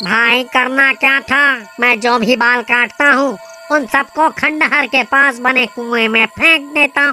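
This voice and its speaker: A man puts on a cartoonish character voice, raised and projected at an extremely high pitch, moving at a moderate pace with fairly even intonation and very even loudness over clear background noise. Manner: casual, easygoing.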